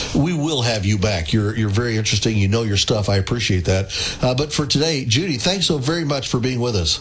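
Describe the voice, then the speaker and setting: A man talks at a very fast pace in a medium pitch, with lively intonation and very even loudness. Noticeable background noise and audible room echo are present. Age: 60s. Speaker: radio host. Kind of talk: radio interview.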